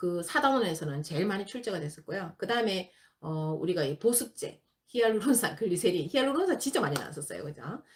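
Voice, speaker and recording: Speaking in a Gyeongsang accent, a woman with a medium-pitched voice talks at a moderate pace with very wide pitch swings. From Gyeongsang region, South Korea. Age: 50s. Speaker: exam prep instructor. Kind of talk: lecture.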